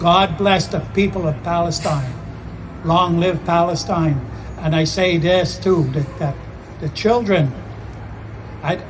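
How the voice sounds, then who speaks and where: Amid noticeable background noise and audible room echo, a man with a high pitch and ordinary pitch variation talks at a fairly slow pace, leaving long, frequent pauses. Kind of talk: vigil speech. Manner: solemn.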